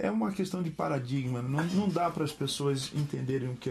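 At a fairly quick pace, a man with a medium pitch and ordinary pitch variation speaks in a somewhat breathy voice. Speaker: pastor and musician. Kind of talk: casual interview chat.

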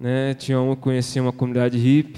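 Moving at a very fast pace, this voice carries a dark, mellow tone. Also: man. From Brazil, Greater São Paulo (Osasco). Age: 20s. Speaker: former homeless man, recovery ministry member. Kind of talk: testimony. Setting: church service.

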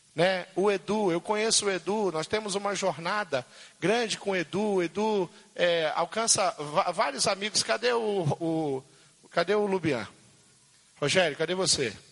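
A man talks at a fairly slow pace with long, frequent pauses and ordinary pitch variation. His pitch is high, and there is noticeable background noise. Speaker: pastor. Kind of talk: sermon. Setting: church. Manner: halting.

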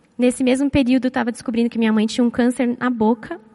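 Recorded with a dry, close sound and no echo but noticeable background noise, a woman speaks at a high pitch with fairly even intonation. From Brazil, São Paulo. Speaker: psychologist and church speaker. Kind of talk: church talk with personal testimony.

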